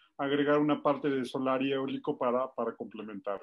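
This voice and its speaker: A man with a Mexican accent speaks at a fairly quick pace. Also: quiet background. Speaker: energy expert. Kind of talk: panel discussion. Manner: fast.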